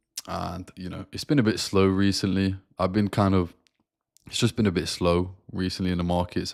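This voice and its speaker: In a British accent, a man speaks with a very deep, low pitch and monotone, flat intonation in a very clean recording with a silent background. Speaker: forex trader. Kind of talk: live stream market review. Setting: live stream. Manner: casual, filler-heavy.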